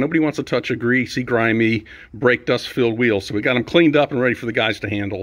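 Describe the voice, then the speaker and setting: Against a quiet background, a man talks very fast with ordinary pitch variation. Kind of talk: casual vlog chat. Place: garage. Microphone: phone near.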